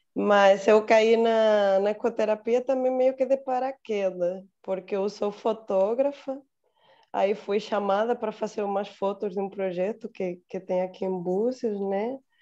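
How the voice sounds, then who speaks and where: A woman with a Spanish accent, medium in pitch and dark, mellow in tone, with fairly even intonation at a fairly slow pace. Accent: Spanish accent in Portuguese, noticeable. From Spain. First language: Spanish (speaking Portuguese). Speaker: psychologist and photographer. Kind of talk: online group introduction.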